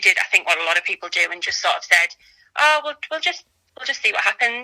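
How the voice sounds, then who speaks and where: Dry and close with no echo, a woman's bright, sharp voice carries lively intonation in a North East England accent. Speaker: mother sharing birth story. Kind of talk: casual interview.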